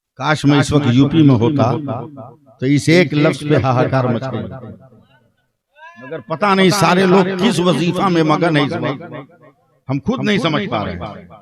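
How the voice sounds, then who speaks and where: A man speaks in an animated tone with lively intonation. Long, frequent pauses break up his speech, and room echo is audible. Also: fairly high pitch for a man. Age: 60s. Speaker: Islamic cleric and preacher. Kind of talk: religious sermon at a public gathering. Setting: stage with audience. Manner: animated, rhetorical.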